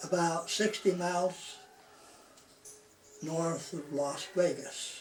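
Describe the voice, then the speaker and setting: With an American accent, a man talks very slowly at a high pitch with fairly even intonation, noticeable background noise behind him. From Utah, US. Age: 80s+. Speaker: elderly man telling his life story. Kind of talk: oral memoir, casual recollection. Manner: halting, many fillers.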